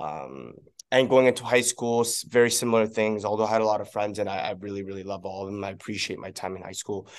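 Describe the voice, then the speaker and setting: A man with a Canadian accent. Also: quiet background. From Korea, then Vancouver from age nine. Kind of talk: casual interview chat.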